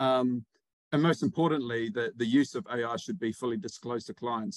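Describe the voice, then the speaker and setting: A man with a New Zealand accent speaks at a medium pitch with ordinary pitch variation, the sound dry and close with no echo. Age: 30s. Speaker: PR agency director. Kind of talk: interview.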